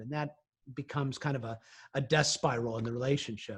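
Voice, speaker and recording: A man with a fairly high pitch speaks at a fairly quick pace in a somewhat breathy voice against a quiet background. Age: 60s. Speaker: science and space journalist. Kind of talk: interview. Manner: halting, many fillers.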